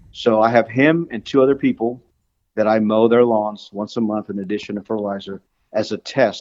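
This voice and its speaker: In a fairly low pitch, a man speaks at a fairly quick pace with fairly even intonation. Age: 60s. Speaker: lawn care business owner. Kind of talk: casual interview chat. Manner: halting, many fillers and repeats.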